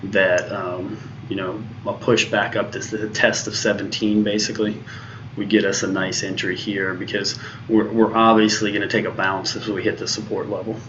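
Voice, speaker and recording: Noticeable background noise and audible room echo surround a man with a fairly low pitch who speaks at a moderate pace with monotone, flat intonation. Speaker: day trader streaming live trades. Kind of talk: live trading commentary. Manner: halting, many fillers.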